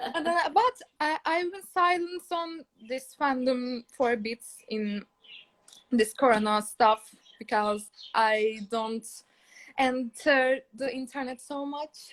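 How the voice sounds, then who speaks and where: High-pitched woman with a Turkish accent, very slow pace, long, frequent pauses, and a dry, close sound with no echo. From Turkey. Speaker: fan caller. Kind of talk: casual chat. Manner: halting.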